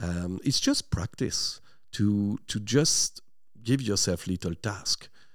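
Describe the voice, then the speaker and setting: On a very clean recording with a silent background, a man speaks very slowly at a fairly low pitch with lively intonation. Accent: French. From northern France, near Lille. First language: French. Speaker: language teacher and linguist. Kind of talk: radio interview. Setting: studio.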